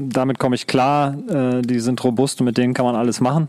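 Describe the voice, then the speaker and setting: A man speaks at a medium pitch in a flat, monotone way, with noticeable noise behind him. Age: 40s. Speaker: outdoor hobbyist. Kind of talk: casual chat. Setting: outdoors.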